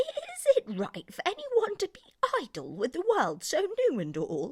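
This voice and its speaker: At a moderate pace, a put-on character voice squeaks along at an extremely high pitch. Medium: read story.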